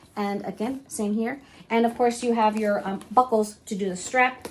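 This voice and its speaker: The woman's voice is somewhat breathy, set at a medium pitch. She keeps a moderate pace with ordinary pitch variation. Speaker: luxury fashion YouTuber. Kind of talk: product unboxing tutorial. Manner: animated.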